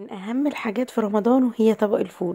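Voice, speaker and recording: A woman with an Egyptian accent speaks at a moderate pace and a fairly high pitch. Her tone is dark and mellow, and somewhat breathy. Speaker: cooking channel host. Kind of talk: cooking tutorial.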